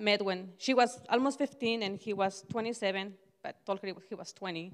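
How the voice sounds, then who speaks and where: Against a quiet background, a woman speaks at a moderate pace in a medium pitch with ordinary pitch variation. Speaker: church member sharing testimony; speaker. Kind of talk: testimony. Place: church. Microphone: handheld.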